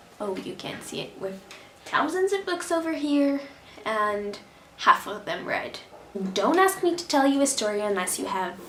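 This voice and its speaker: A woman at a moderate pace with very wide pitch swings, noticeable background noise, and audible room echo. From Brazil. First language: Portuguese. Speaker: vlogger. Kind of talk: casual vlog monologue. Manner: animated.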